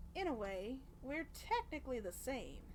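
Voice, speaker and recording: A woman performs a put-on character voice, high in pitch. Background noise is clearly heard. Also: moderate pace. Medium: game stream. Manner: playful, teasing.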